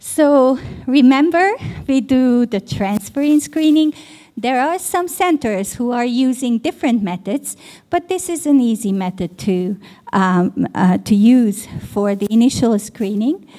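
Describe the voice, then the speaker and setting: Her voice is high-pitched with a dark, mellow tone. The woman moves at a fairly slow pace through very wide pitch swings. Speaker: pediatrician and professor. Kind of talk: conference lecture.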